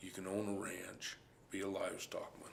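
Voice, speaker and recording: A man speaks with a rural western US accent at a very deep, low pitch. His voice carries audible room echo. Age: 60s. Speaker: cowboy. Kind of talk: interview testimony.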